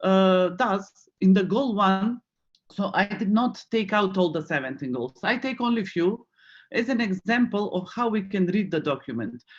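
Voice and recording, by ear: A man speaks with a high pitch and lively intonation. His pace is moderate.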